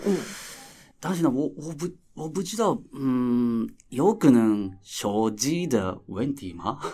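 A man's very slow voice in a Japanese accent, medium-pitched with a dark, mellow tone, very wide pitch swings and big swings in loudness. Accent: Japanese-accented Mandarin. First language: Japanese (speaking Chinese). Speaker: theatre director. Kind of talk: casual interview chat. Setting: recording venue. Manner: halting, many filler sounds.

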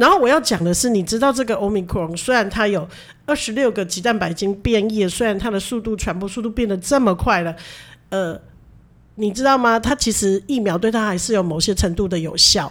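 Talking at a fairly quick pace, a woman with a normal speaking voice keeps a medium pitch and ordinary pitch variation. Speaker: nurse and podcast co-host. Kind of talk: casual chat.

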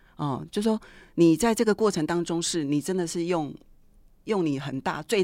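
Fairly low female speech, its pitch rising and falling an ordinary amount. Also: very clean recording, silent background. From Taiwan, Taichung. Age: 50s. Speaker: middle school art teacher. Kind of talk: interview.

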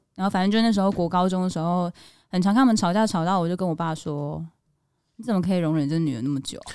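A woman talks at a very fast pace. Her pitch is fairly low, with ordinary variation. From Taiwan, Kaohsiung. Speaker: actress and podcast co-host. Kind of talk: casual chat.

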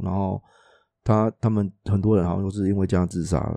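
A man with a dark, mellow tone and fairly low pitch speaks with fairly even intonation, recorded dry and close with no echo over a quiet background. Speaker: podcast co-host. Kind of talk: casual chat.

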